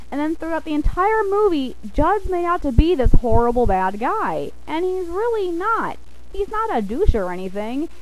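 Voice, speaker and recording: A woman's extremely high-pitched voice with very wide pitch swings at a moderate pace, amid noticeable background noise and audible room echo. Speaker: video blogger. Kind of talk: casual rant. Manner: hesitant, lots of fillers; animated.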